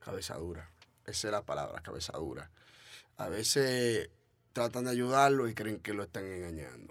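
In a very clean recording with a silent background, a man with a Dominican accent speaks at a moderate pace in a fairly low voice, his intonation lively and his pauses long and frequent. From Dominican Republic. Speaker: trap artist. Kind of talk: casual interview.

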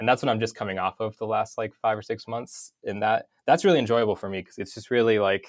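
With an American accent, a man speaks at medium pitch in an unremarkable speaking voice, his intonation fairly even. The recording is very clean, with a silent background and a dry, close sound with no echo. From North Idaho, US. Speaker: UX motion designer. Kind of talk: interview. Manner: casual, many fillers.

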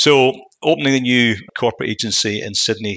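Vocal fry runs through a man's bright, sharp tone. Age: 50s. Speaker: business executive. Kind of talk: interview.

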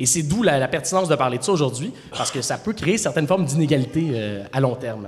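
Talking at a very fast pace with lively intonation, a man is heard over noticeable background noise. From Outaouais, Quebec. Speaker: podcast host and debate moderator. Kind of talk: moderated debate. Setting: stage with audience.

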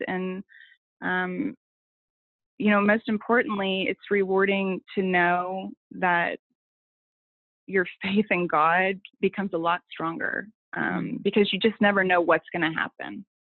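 With an ordinary speaking voice, a woman talks in an American accent at a medium pitch. Her pace is fairly slow and her intonation fairly even. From Oklahoma City. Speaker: coach's wife. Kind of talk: interview.

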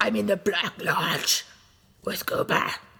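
Someone in a put-on character voice delivers lines fairly slowly. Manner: bizarre, creepy.

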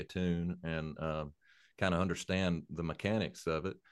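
A man's very deep, low voice in an Appalachian accent, fairly even in intonation, at a moderate pace against a quiet background. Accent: Appalachian Southern US. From Eastern Kentucky, Appalachia. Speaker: bluegrass country songwriter and musician. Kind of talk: casual interview chat.

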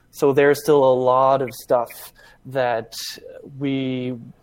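This is a man speaking. There is noticeable background noise behind him. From Germany. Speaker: tech startup co-founder. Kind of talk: casual interview on a live podcast. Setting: video call.

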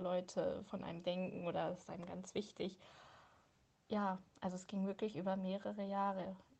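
A woman's somewhat breathy voice has a dark, mellow tone at a medium pitch. Her intonation is flat and monotone. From Hildesheim, Lower Saxony, Germany. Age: 20s. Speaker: personal testimony contributor. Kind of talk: testimony.

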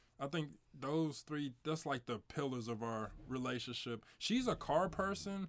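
In a very clean recording with a silent background, a man with a St. Louis accent speaks very slowly in a fairly high voice. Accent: St. Louis Midwestern American. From St. Louis, Missouri. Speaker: podcast host. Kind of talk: casual chat.

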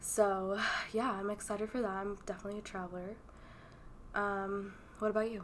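With an American accent, a woman speaks at a fairly quick pace in a monotone, flat intonation, leaving long, frequent pauses. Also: medium pitch for a woman. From Texas. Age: 20s. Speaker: podcast co-host. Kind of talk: casual chat.

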